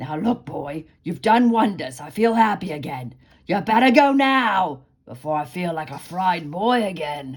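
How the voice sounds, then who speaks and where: In a put-on character voice, the speaker sounds gruff with a grumpy tone, keeping a middle pitch and a moderate pace. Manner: gruff, grumpy.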